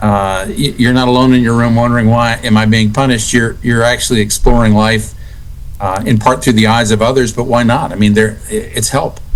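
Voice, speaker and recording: Spoken in a flat monotone at a fairly quick pace with an American accent, the voice carries audible room echo. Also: man, medium pitch for a man. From Texas. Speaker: author. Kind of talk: interview.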